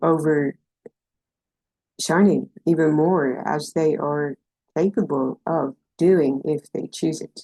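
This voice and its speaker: A soft-spoken woman talks at a very slow pace with long, frequent pauses, her very deep, low voice carrying vocal fry, a dark, mellow tone and fairly even intonation. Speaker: intuitive empowerment coach. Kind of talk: spiritual guidance talk to camera. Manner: soft, gentle, compassionate.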